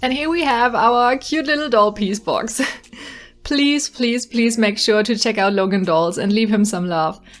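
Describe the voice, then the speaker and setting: Music plays behind a woman whose fairly high voice moves with lively intonation. She talks at a fairly slow pace with very even loudness. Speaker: doll customizer and YouTuber. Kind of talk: tutorial narration.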